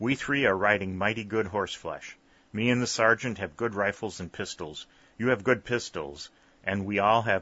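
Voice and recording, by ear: A natural voice reads the words aloud.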